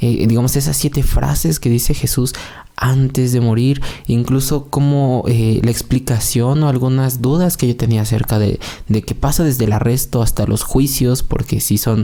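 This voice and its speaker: A man's dark, mellow tone holds a very even loudness. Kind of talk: religious podcast monologue. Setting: at home, recorded in the early morning. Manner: soft-spoken, quieter than usual; calm, less energetic than usual.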